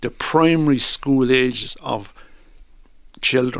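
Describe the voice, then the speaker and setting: With an Irish accent, this man has a medium-pitched voice. His intonation is fairly even. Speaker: stuttering awareness campaigner. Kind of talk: radio interview. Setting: studio.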